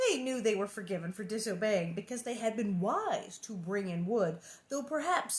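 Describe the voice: Plain reading, out loud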